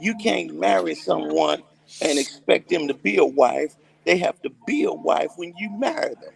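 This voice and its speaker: A man speaks at a moderate pace, his loudness swinging widely. The sound is dry and close with no echo, but background noise is noticeable. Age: 60s. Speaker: gospel singer. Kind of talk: casual chat.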